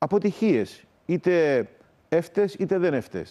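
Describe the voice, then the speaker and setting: This man's dark, mellow tone carries lively intonation. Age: 50s. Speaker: Orthodox metropolitan bishop. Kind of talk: morning TV interview; interview answer. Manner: halting. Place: studio.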